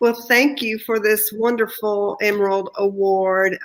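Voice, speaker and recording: A woman with a slight Texan accent speaks at a fairly slow pace in a monotone, flat intonation. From Texas. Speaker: artist, award recipient. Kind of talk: acceptance speech.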